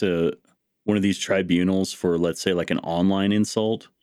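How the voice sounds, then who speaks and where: A man with an American accent has a plain, everyday voice, pitched fairly low. His intonation is fairly even and his pace moderate, in a very clean recording with a silent background. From US Upper Midwest, North Dakota. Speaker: podcast host. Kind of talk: casual interview conversation.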